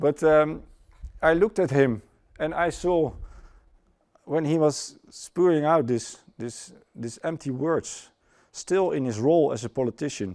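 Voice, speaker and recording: A man with a Dutch accent speaks at a fairly high pitch and a fairly slow pace, with ordinary pitch variation and long, frequent pauses. The recording is very clean, with a silent background. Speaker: former airline pilot, conference speaker. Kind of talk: conference talk. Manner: halting.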